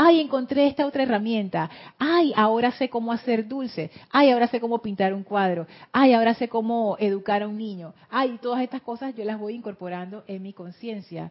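A woman's fairly high voice with a Panama City accent, at a moderate pace with ordinary pitch variation. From Panama City, Panama. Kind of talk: teaching talk with guided meditation.

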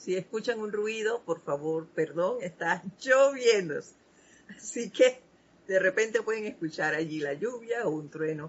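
A woman with an unremarkable speaking voice speaks at a medium pitch and a fairly slow pace, with lively intonation. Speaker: spiritual program host. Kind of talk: spiritual talk.

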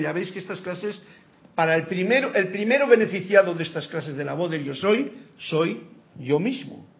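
Audible room echo surrounds a man's high voice with ordinary pitch variation. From rural area. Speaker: spiritual teacher. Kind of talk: lecture.

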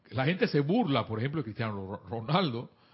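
A man with a Panamanian accent at a moderate pace. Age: 50s. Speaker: spiritual teacher. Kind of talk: spiritual class on internet radio.

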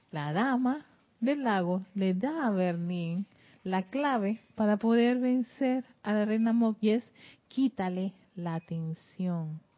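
A woman at medium pitch with lively intonation and a very slow pace. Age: 40s. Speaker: spiritual teacher and radio host. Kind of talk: spiritual teaching. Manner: halting, frequent repetitions.

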